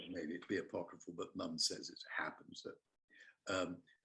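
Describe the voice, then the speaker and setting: The speaker is a man with a southern English accent. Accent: English (southern RP-like). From England, Kingston upon Thames. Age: 60s. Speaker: theatre artistic director and actor. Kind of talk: casual interview chat in webinar. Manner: halting, many fillers.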